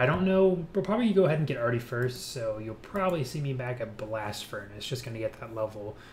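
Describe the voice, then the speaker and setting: Delivered at a very fast pace with hardly any pauses, the speech carries lively intonation. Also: man. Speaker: gaming YouTuber. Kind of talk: gameplay commentary. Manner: casual, with fillers.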